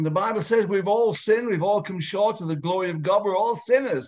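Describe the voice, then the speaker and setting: Against a quiet background, a man speaks with a high pitch and lively intonation. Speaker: evangelist host. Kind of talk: evangelistic meeting hosting. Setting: video call. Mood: earnest, persuasive. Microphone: video call.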